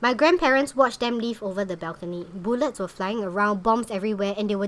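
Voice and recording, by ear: Reading aloud in a natural voice, with ordinary pitch variation throughout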